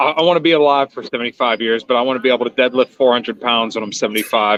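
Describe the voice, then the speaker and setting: Speaking very fast with a Pittsburgh accent, a man keeps a medium pitch and fairly even intonation. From western Pennsylvania, Pittsburgh area. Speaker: stream guest. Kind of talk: casual chat.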